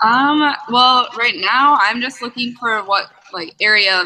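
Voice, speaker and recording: Lively intonation runs through this woman's speech. Her pace is moderate. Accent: Upper Midwest. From Minnesota, Eagan. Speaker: nursing student. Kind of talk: casual chat.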